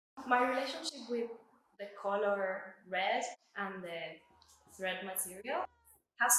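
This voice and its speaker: The voice carries an Argentine accent with ordinary pitch variation. Room echo is audible. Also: woman. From Argentina. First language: Spanish. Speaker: artist. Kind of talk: artist talk about own exhibition.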